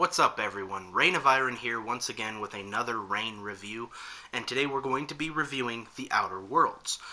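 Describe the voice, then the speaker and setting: A man's medium-pitched voice with ordinary pitch variation at a fairly quick pace, amid noticeable background noise. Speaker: video game reviewer. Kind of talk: video game review.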